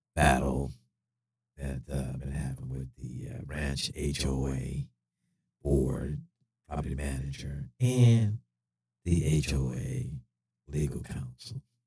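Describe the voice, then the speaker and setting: A man speaks at a very slow pace with long, frequent pauses, his pitch very deep and low with ordinary variation. His tone is dark and mellow, with vocal fry. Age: 60s. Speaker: retired police officer. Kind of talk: live stream monologue. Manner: hesitant, many fillers.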